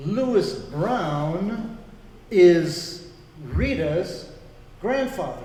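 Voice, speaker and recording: Lively intonation runs through very slow speech broken by long, frequent pauses, with audible room echo and noticeable background noise. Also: man, high pitch for a man. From grew up in Congo. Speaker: pastor. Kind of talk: interview.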